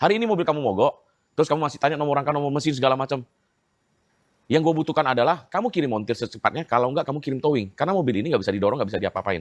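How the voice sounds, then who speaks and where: A man at a fairly high pitch, talking at a very fast pace with lively intonation, in a dry, close sound with no echo. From Medan, North Sumatra. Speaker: EV owner telling complaint story. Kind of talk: casual interview chat. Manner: animated.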